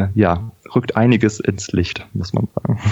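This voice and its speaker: With fairly even intonation and a fairly low pitch, this man has an unremarkable speaking voice. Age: 30s. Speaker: anaesthetist, congress organiser. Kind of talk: interview.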